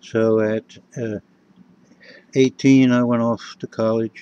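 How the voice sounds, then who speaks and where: In an American accent, the voice has a dark, mellow tone and a monotone, flat intonation, recorded with a dry, close sound and no echo. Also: man. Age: 60s. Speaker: vlogger. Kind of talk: personal monologue. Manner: halting, many fillers.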